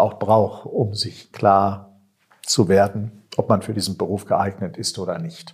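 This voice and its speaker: This man's voice is somewhat breathy and fairly low in pitch. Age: 50s. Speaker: seminary director, priest. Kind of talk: interview conversation. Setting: seminary building.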